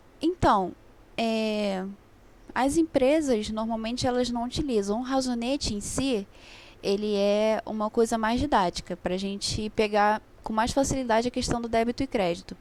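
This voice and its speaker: A woman with an ordinary speaking voice talks at a moderate pace. Her pitch is fairly high, with ordinary pitch variation. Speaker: accounting tutor. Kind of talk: online review class.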